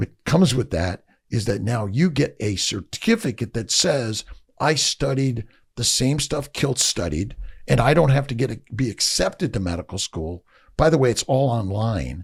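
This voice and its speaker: Vocal fry runs through this man's speech. His pitch moves over a very wide range. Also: medium pitch for a man, moderate pace. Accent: American. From Los Angeles, US West Coast. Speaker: fertility doctor. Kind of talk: podcast interview. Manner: loud; animated.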